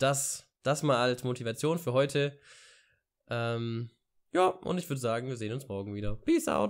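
At a moderate pace with long, frequent pauses, a man speaks at a medium pitch with ordinary pitch variation against a quiet background. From Ulm, southern Germany; Germany. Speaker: vlogger and university student; vlogger. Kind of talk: casual vlog monologue. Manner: hesitant, many filler sounds. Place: home room. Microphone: studio mic.

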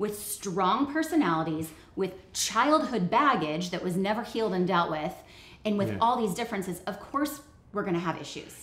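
The speech moves at a moderate pace, and audible room echo is present. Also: woman. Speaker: co-host of a marriage webcast. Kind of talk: personal story told to camera. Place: home room.

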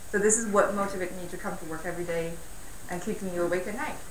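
Audible room echo and light background noise surround a woman's voice. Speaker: speaker. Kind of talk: lecture. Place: hall.

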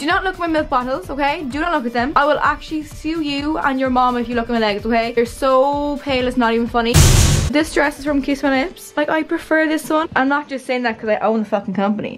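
Faint music plays in the background as a woman talks at a very fast pace, her pitch high and her pitch variation ordinary. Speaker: vlogger. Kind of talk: casual vlog chat. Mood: hungover, self-mocking, playful. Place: home room. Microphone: phone near.

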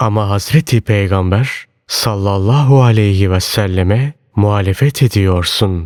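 A man speaks very slowly at a fairly low pitch, with ordinary pitch variation. The recording is very clean and dry, with a silent background and a close sound with no echo. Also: hardly any pauses. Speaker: audiobook narrator. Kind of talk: reading aloud of religious sermon text.

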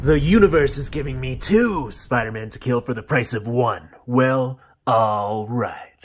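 This raspy man talks at a moderate pace and medium pitch, with ordinary pitch variation and big swings in loudness. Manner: menacing, grandiose, bitter.

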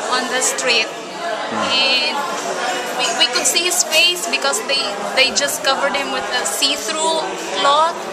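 A woman speaks at a fairly slow pace. Crowd noise can be heard behind her. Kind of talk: interview answer. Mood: grieving, emotional retelling. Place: church. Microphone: phone near.

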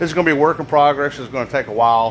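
A man talks at a very fast pace with ordinary pitch variation. Light background noise sits behind him. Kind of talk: casual vlog chat. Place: workshop. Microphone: phone near.

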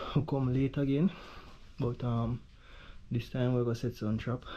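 A man talks at a fairly slow pace in a medium pitch, his tone dark and mellow.

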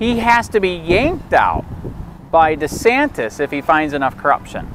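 In an American accent, the speaker keeps a moderate pace with very wide pitch swings, the sound dry with no echo and light background noise. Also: man. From Michigan. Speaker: copwatch activist filming in public. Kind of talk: street interviews with passersby. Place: street. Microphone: phone near.

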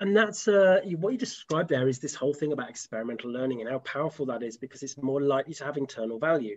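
A man talks very fast with hardly any pauses. His pitch is fairly high and his intonation is lively. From UK. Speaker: dog behavior practitioner; host. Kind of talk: casual chat. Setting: video call. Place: home room. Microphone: video call.

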